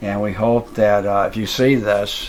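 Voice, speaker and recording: Noticeable background noise sits under a man's fairly low-pitched voice. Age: 70s. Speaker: roadside attraction owner, animal rescuer. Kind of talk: casual interview. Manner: hesitant, many fillers.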